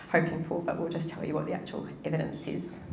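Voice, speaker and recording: A woman in a New Zealand accent, very deep and low in pitch, talking fairly quickly amid noticeable background noise and audible room echo. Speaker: pensions researcher. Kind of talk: interview in front of a live audience.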